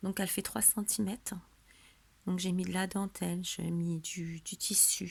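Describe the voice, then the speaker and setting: Somewhat breathy, medium-pitched speech from a woman. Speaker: scrapbooking crafter. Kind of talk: craft tutorial show-and-tell. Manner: casual, hesitant with fillers.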